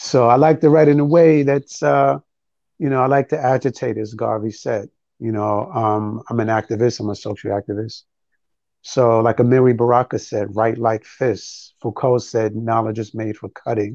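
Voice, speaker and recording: With a New York accent, a man talks at a moderate pace and medium pitch with ordinary pitch variation, in a dry, close sound with no echo over a quiet background. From New York City (Harlem, the Bronx). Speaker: spoken word poet. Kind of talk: interview.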